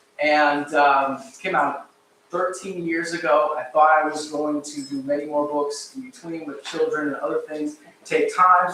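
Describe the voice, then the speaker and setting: A man is speaking. His pitch varies in an ordinary way. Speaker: local historian and author. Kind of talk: public lecture. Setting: live talk with audience, microphone, livestreamed. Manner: fast.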